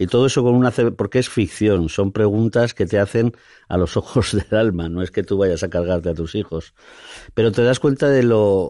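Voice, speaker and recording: At a moderate pace, a man with a fairly low pitch and a dark, mellow tone speaks with ordinary pitch variation against a quiet background. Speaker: theatre director. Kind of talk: interview. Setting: studio.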